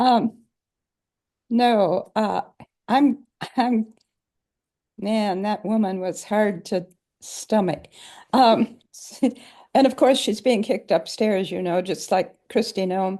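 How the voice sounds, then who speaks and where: A woman speaks at a very slow pace with long, frequent pauses, her fairly high pitch carrying ordinary variation in a dark, mellow tone. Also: quiet background. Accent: American. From US Midwest, Minnesota. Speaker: former law clerk. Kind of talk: casual chat.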